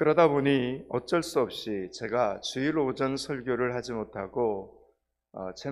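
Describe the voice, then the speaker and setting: Very slowly, a man of medium pitch speaks with ordinary pitch variation in a very clean recording with a silent background. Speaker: pastor. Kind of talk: sermon. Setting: church.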